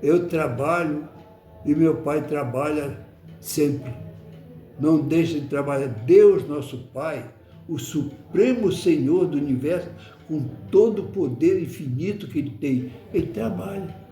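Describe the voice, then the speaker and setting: With music in the background and audible room echo, a man with a fairly high pitch talks at a very slow pace, using ordinary pitch variation and long, frequent pauses. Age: 80s+. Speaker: spiritist study lecturer. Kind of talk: religious study talk. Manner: halting, with many repetitions.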